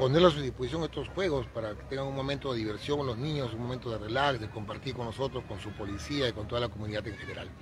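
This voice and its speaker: A man talks at a very fast pace in a dry, echo-free recording with noticeable background noise. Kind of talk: interview answer. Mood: grateful, upbeat. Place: open country. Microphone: handheld.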